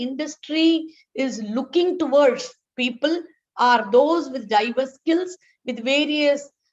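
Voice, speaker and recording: A woman with a high voice speaks at a fairly slow pace with ordinary pitch variation. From South India. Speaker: healthcare management academic. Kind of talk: lecture. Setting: webinar.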